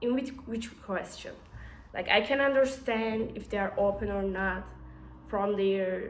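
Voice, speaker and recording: Room echo around a woman's voice at a medium pitch. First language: not English. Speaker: engineer and startup founder. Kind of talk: casual vlog to camera. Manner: halting, many fillers and restarts.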